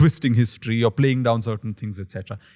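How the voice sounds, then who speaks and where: A man's somewhat breathy, medium-pitched voice with a Keralan accent, at a very fast pace, in a dry, close sound with no echo. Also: very clean recording, silent background. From India, Maharashtra (Pune), Malayali family. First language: Malayalam. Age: 30s. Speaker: historian and author. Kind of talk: interview conversation. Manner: reflective, measured with hesitations.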